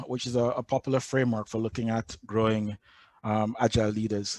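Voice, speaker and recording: The recording is very clean with a silent background and a dry, close sound with no echo, as a man with a Jamaican accent speaks at medium pitch and a moderate pace. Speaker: agile coach. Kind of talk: conference talk.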